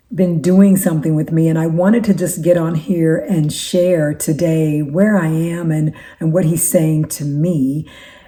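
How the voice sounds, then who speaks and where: A woman speaks fairly slowly with a fairly low pitch and a dark, mellow tone. Audible room echo surrounds her voice. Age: 60s. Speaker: faith-based life coach and YouTuber. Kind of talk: casual talk to camera. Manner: halting, with frequent repetitions.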